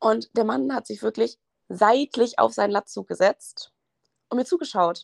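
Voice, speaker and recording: A woman talks at a fairly slow pace, her sound dry and close with no echo. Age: 20s. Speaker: university student and gym content creator. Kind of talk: casual chat.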